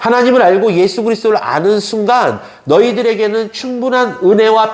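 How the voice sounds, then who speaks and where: At a moderate pace, a high-voiced man speaks over noticeable background noise. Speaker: pastor. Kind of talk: sermon.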